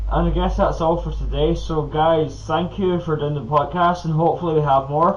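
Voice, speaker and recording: A man talks with hardly any pauses. Noticeable background noise runs under his voice. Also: moderate pace. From Scotland. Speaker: podcast host. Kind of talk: casual chat.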